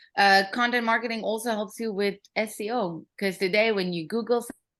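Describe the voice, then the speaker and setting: A woman with a non-native accent and a fairly high pitch at a moderate pace. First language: not English. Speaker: marketing consultant and workshop speaker. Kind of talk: workshop presentation. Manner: casual, many fillers.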